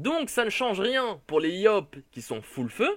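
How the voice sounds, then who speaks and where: A man's voice with very wide pitch swings. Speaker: gaming youtuber. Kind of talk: casual commentary reading patch notes.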